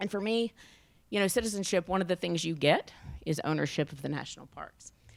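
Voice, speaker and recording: Vocal fry and ordinary pitch variation mark a woman's speech in a Southern US accent. She talks at a very fast pace in a very clean recording with a silent background. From US South. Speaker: national park superintendent. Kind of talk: keynote presentation with slides. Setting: luncheon event with audience.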